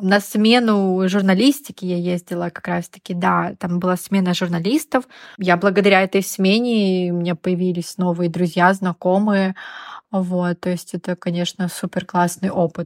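An unremarkable speaking voice from a woman, medium in pitch, at a moderate pace with fairly even intonation, in a dry, close sound with no echo. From Russia, Yamal. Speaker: fashion PR specialist. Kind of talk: casual interview.

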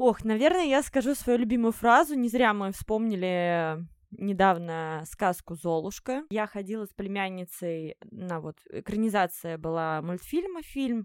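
A woman's medium-pitched, ordinary speaking voice, fairly slow, with lively intonation and big swings in loudness, on a very clean recording with a silent background. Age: 30s. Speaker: coffee shop owner, former makeover show participant. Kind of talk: casual interview.

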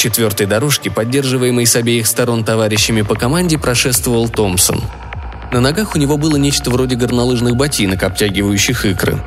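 With music in the background, a man at a medium pitch talks fairly quickly, with ordinary pitch variation and very even loudness. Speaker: audiobook narrator. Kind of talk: literary audiobook reading, narrating a satirical story and voicing dialogue.

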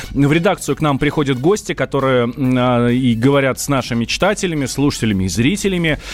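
Over noticeable background noise, a man talks very fast at a fairly high pitch with lively intonation. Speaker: radio host. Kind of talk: live radio talk show. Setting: studio.

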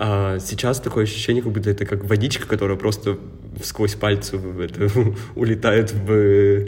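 With long, frequent pauses, a man of fairly low pitch talks at a moderate pace in a flat monotone over noticeable background noise. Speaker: podcast co-host. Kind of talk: casual chat.

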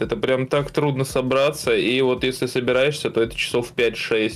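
The intonation stays fairly even, with music in the background. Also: man. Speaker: gaming news podcast co-host. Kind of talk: casual chat.

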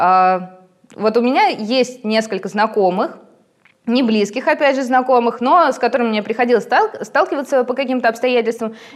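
Pitch varies in a normal way as the speech proceeds at a moderate speed. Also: woman, high pitch for a woman. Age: 30s. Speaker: tattoo artist. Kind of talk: casual chat.

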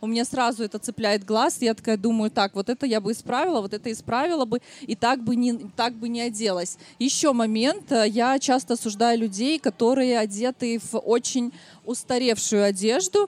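With an ordinary speaking voice, a woman talks at a moderate pace in a fairly high pitch with ordinary pitch variation, the sound dry and close with no echo. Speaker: podcast host and stylist. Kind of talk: live podcast recording before audience. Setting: outdoor stage at city picnic with audience.

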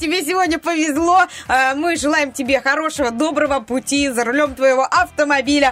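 Over noticeable background noise, a woman speaks high at a moderate pace with ordinary pitch variation. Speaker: radio host. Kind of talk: casual banter on morning radio show. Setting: studio. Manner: animated, chatty.

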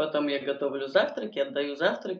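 A woman speaks at a fairly quick pace. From Moscow, Russia. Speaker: stand-up comedian and fitness trainer. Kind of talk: casual interview chat.

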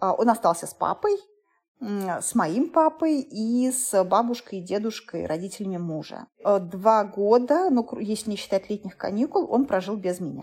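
With a normal speaking voice, a woman talks at a fairly slow pace, her fairly high pitch carried by lively intonation. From Uzbekistan, Tashkent. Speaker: food journalist and TV presenter. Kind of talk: interview. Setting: call.

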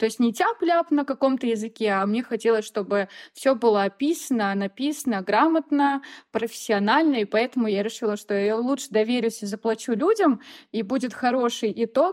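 A woman's ordinary speaking voice at a moderate pace with ordinary pitch variation, dry and close with no echo against a quiet background. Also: fairly high pitch for a woman. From Russia, Voronezh region. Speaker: sewing blogger. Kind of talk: casual chat.

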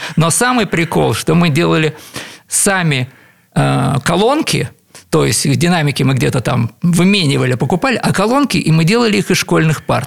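A man's fairly high voice with vocal fry, lively intonation, very even loudness and a moderate pace. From Leningrad, Russia. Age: 60s. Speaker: composer and keyboardist. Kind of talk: radio interview. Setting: radio studio.

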